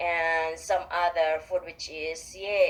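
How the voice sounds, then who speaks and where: A woman with a Visayan Filipino accent. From Philippines, Visayas. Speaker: radio interview guest. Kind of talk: radio interview. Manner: halting.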